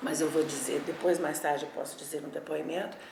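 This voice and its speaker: Audible room echo and noticeable background noise surround a woman with a very deep, low pitch speaking at a moderate pace. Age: 60s. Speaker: former political activist. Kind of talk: oral history testimony. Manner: halting.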